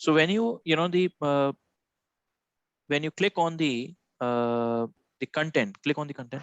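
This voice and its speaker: A man with an Indian accent talks at a moderate pace with ordinary pitch variation, his dry voice carrying no echo over a quiet background. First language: Hindi. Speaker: software trainer. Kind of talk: live one-on-one training session. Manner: halting, many fillers. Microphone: video call.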